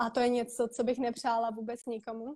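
At a fairly high pitch, a woman talks at a fairly quick pace. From Czechia, Prague and Most. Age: 20s. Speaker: podcaster and beauty pageant contestant. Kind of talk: interview. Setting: Instagram live video call.

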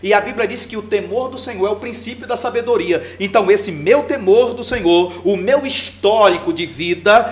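Through noticeable background noise, a man talks at a fairly slow pace with lively intonation. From Imperatriz, Maranhão, Brazil. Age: 50s. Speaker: pastor and mayoral pre-candidate. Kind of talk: political interview.

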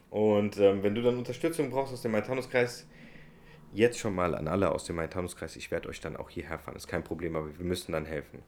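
Speaking at a very fast pace, a man uses a fairly low pitch with lively intonation and big swings in loudness. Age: 20s. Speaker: podcast host and political candidate. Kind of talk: casual interview.

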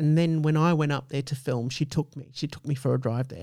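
In an Australian accent, a man with a fairly high pitch speaks with ordinary pitch variation. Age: middle-aged. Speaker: podcast host. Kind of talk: casual chat.

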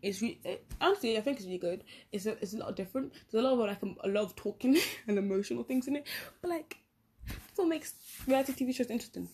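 Somewhat breathy and fairly high-pitched, a woman races along at a very fast pace with lively intonation. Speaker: podcaster. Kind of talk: casual chat. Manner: rambling, halting with fillers.

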